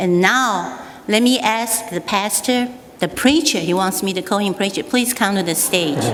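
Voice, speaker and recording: A woman with a Taiwanese accent speaks at a moderate pace in a medium pitch with lively intonation, with audible room echo and noticeable background noise. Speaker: state representative. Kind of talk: speech at a church anniversary. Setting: stage with audience.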